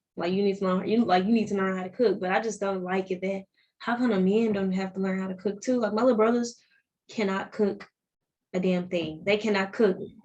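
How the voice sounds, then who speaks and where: A woman with a Southern accent at a very fast pace. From Arkansas, near Memphis. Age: 20s. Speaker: podcast guest. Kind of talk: casual chat.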